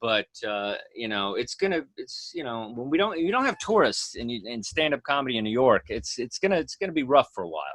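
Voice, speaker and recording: The speaker has an American accent and a fairly quick pace. There are hardly any pauses. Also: man. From Texas. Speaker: stand-up comedian. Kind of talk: casual chat. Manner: fast; animated.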